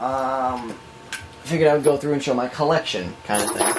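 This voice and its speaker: With music playing behind him, the man speaks at a moderate pace. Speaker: YouTuber. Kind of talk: casual vlog monologue. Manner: rambling, halting with repetitions.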